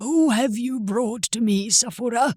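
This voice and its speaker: This is a put-on character voice at a fairly high pitch. It moves at a moderate pace. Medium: read story. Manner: warm, kindly, wise.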